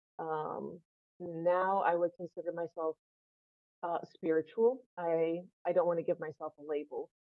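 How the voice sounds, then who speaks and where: In an American accent, an ordinary speaking voice moves at a fairly slow pace with fairly even intonation. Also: woman, fairly low pitch for a woman. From US South, northern Florida. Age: 30s. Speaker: guest sharing personal story. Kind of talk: casual interview.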